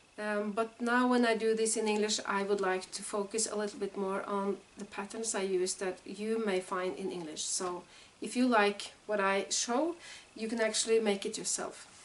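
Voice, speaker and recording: Against noticeable background noise, a woman with a Norwegian accent speaks at medium pitch with fairly even intonation. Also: moderate pace. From Norway. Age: 40s. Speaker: knitting vlogger and teacher. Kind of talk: casual vlog introduction. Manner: halting, many fillers.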